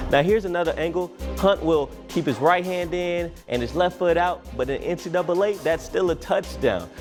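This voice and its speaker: With music in the background, a man speaks in an American accent. His tone is upbeat and energetic, with hardly any pauses. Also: moderate pace. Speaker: local TV sports anchor and reporter. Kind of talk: TV sports broadcast reel. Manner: upbeat, energetic, joking.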